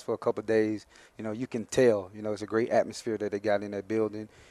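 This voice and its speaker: Talking at a very fast pace in an Alabama accent, a man with a fairly low pitch comes through a very clean recording with a silent background and a dry, close sound with no echo. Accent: Southern US (Alabama). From US South, Mobile, Alabama. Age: 30s. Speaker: professional football player. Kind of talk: interview.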